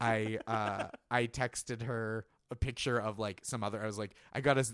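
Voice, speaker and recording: At a moderate pace, a man with an American accent talks at medium pitch in a monotone, flat intonation, on a very clean recording with a silent background. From Boston area. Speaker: comedy writer. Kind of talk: casual chat.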